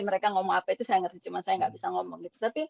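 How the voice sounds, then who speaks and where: A woman speaks at a very fast pace. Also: dry, close sound with no echo. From Indonesia, outside Java. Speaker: school alumna. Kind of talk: casual chat. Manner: hesitant, many fillers.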